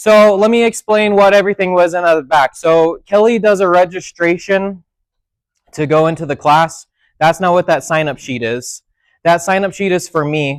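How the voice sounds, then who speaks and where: Loud and high-pitched, a man speaks at a moderate pace with ordinary pitch variation, his sound dry and close with no echo on a very clean recording over a silent background. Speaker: technology instructor. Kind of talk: seminar lecture. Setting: classroom with audience. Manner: soft-spoken; speaking loudly on purpose.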